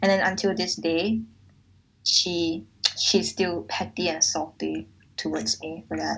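Very deep, low-pitched female voice with vocal fry and lively intonation. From Malaysia. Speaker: podcast host. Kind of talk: casual chat.

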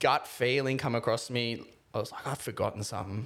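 The speaker uses an Australian accent and keeps a moderate pace. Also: man. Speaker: podcast co-host. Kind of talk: casual chat.

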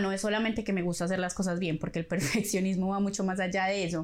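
Very fast speech from a woman, medium in pitch. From Colombia. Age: 30s. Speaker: podcast host. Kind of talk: personal monologue.

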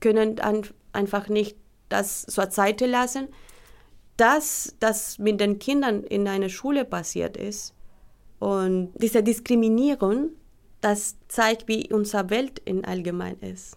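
Over a silent background in a very clean recording, a woman talks at a very slow pace with ordinary pitch variation. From Colombia. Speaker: teacher seeking recognition. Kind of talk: testimony.

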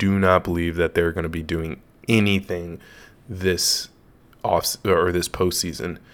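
A man talks with a very deep, low voice in an American accent. The recording is very clean, with a silent background. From US West Coast, Los Angeles. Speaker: sports podcaster. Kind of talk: solo podcast commentary. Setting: home studio. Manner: casual with many filler words.

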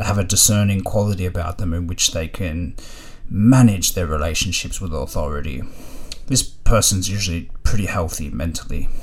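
Audible room echo surrounds a man with an Australian accent and a very deep, low pitch. He speaks at a moderate pace with ordinary pitch variation. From Australia, Melbourne (Ringwood). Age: 30s. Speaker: storyteller guest. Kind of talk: casual monologue.

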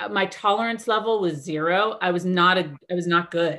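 On a very clean recording with a silent background, a woman with an American accent speaks fairly slowly in a bright, sharp voice with fairly even intonation. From Arizona and California. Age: 40s. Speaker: boutique owner and stylist. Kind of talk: casual chat.

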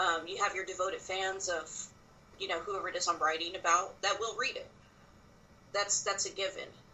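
A woman with an American accent speaks with long, frequent pauses over noticeable background noise. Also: fairly quick pace. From South Texas. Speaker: wrestling writer. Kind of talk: casual interview.

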